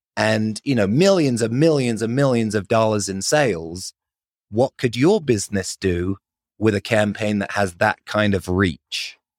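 A man with a London accent speaks at a fairly slow pace and fairly low pitch, with ordinary pitch variation. The sound is dry and close with no echo, on a very clean recording with a silent background. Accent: British, London-raised. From London, England. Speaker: marketing agency founder. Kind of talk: casual interview.

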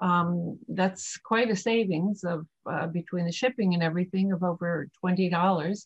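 Somewhat breathy and fairly low-pitched, a woman speaks at a fairly slow pace with fairly even intonation and hardly any pauses, in a dry, close sound with no echo. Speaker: e-commerce business owner, charity co-founder. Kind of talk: interview.

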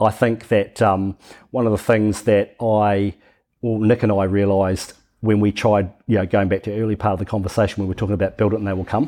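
Over a quiet background, a man with a New Zealand accent talks at a fairly quick pace in a fairly low pitch, his tone dark and mellow and his intonation flat and monotone. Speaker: software company founder. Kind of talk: casual interview.

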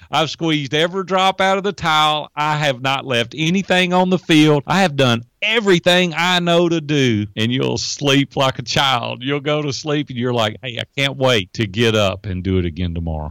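This man, with a Tennessee accent, has a fairly high pitch and an animated tone, swinging very widely in pitch at a moderate pace with hardly any pauses, in a dry, close sound with no echo. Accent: Tennessee Southern US. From US South, Nashville, Tennessee. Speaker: entrepreneur and life coach. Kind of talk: interview.

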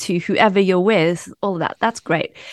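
Recorded with a dry, close sound with no echo over a quiet background, a woman speaks in an ordinary speaking voice at medium pitch with ordinary pitch variation. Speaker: coach. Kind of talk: casual interview. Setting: remote call.

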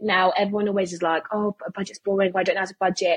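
A woman with a British accent talks at a very fast pace. Her voice is medium in pitch and somewhat breathy. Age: 20s. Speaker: personal finance content creator. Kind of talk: interview.

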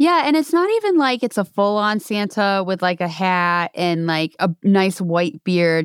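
A woman with an unremarkable speaking voice and an American accent speaks at a fairly slow pace in a medium pitch with lively intonation, in a very clean recording with a silent background and a dry, close sound with no echo. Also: hardly any pauses. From New York. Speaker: podcast host, association executive director. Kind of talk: casual chat.

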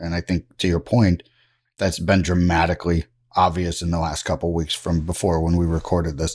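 Over a silent background in a very clean recording, a man with a very deep, low pitch speaks at a fairly quick pace with monotone, flat intonation. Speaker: podcast host. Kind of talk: interview.

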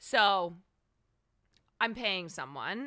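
Bright and sharp in tone, a woman speaks with an American accent at a moderate pace and ordinary pitch variation. The recording is very clean, with a silent background. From US Midwest (Chicago suburbs, Iowa). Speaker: streamer. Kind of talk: casual chat. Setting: studio.

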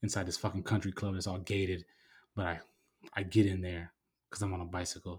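A man with an American accent talks fairly quickly in a somewhat breathy, monotone, flat voice, recorded very cleanly against a silent background. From San Diego, California. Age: 30s. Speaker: podcast host. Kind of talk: casual monologue.

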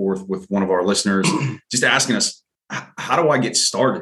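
Speaking at a moderate pace, a man uses an unremarkable speaking voice with ordinary pitch variation. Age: 40s. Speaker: podcast co-host. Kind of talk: casual chat.

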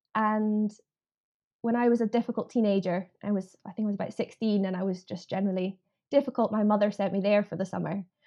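A woman speaks very fast with a Scottish accent, her pitch medium and her intonation fairly even. The background is quiet. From Scotland, Edinburgh. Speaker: farming union policy campaigner. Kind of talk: podcast interview.

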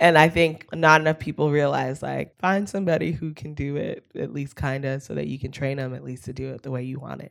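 Spoken fairly quickly with an American accent, the delivery has hardly any pauses and big swings in loudness. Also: woman, very deep, low pitch for a woman, ordinary pitch variation. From US West Coast, Palo Alto, California. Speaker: fashion stylist and designer. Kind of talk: casual interview chat.

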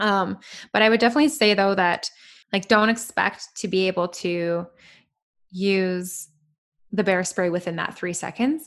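With a western Canadian accent, a woman talks at a moderate pace in a medium pitch with ordinary pitch variation, leaving long, frequent pauses against a quiet background. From Canada, British Columbia. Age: 20s. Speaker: van lifer and podcaster. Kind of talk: casual interview chat.

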